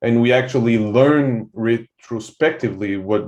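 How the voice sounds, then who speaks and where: With a French-Canadian accent, a man speaks at a fairly slow pace with fairly even intonation against a quiet background. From Quebec, Canada (francophone). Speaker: soldier, military veteran. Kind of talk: podcast conversation. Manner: halting, many fillers and repetitions.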